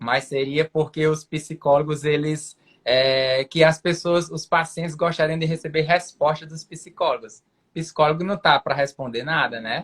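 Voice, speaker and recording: With a northeastern Brazilian accent, a man talks at a fairly slow pace in a fairly high pitch, keeping his intonation fairly even. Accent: Brazilian northeastern accent, noticeable. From Brazil, Rio Grande do Norte (Mossoró). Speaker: psychiatrist. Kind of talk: live video chat with a guest. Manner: hesitant fillers.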